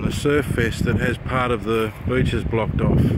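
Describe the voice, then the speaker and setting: In an Australian accent, a man speaks with fairly even intonation amid audible room echo and noticeable background noise. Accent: thick Australian. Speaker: vlogger. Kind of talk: casual video tour narration. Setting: outdoors on a windy hill.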